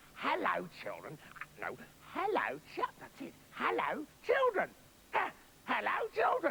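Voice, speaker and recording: A soft-spoken, put-on character voice at an extremely high pitch, fairly slow, with long, frequent pauses. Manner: fake-friendly, coaxing.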